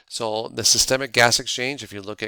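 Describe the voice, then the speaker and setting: Fairly low-pitched male voice with a bright, sharp tone at a fairly quick pace, on a very clean recording with a silent background. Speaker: anatomy professor. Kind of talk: lecture. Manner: fast; halting, many filler words.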